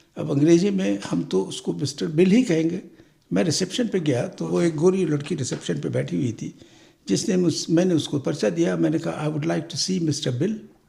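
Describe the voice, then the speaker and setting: Vocal fry runs through a man's dark, mellow voice, which sits fairly high in pitch and swings very widely. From Pakistan. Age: 80s+. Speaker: senior immigrant. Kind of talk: interview answer.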